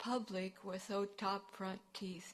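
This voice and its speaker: A woman speaking at a fairly slow pace. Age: 60s. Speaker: resident presenting to council. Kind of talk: public delegation speech. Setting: city council meeting.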